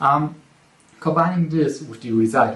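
With audible room echo around him, a man speaks fairly slowly in a fairly bright tone with ordinary pitch variation.

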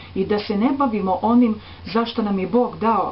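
A woman talks at a moderate pace with ordinary pitch variation over light background noise. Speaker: presenter. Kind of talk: spiritual talk to camera. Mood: calm, earnest. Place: home room. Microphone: webcam.

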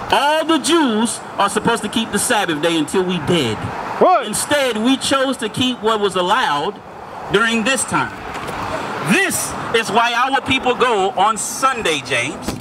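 A man's raised, projected voice at an extremely high pitch, with noticeable background noise. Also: lively intonation, moderate pace. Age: 30s. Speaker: street preacher. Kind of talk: street debate. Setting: outdoors. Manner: animated. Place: street. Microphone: handheld.

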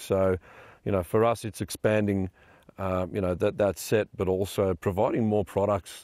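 Over a quiet background, a man with a fairly low pitch and a dark, mellow tone speaks at a moderate pace in a dry sound with no echo. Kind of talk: interview answer. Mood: relaxed, friendly. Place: forest.

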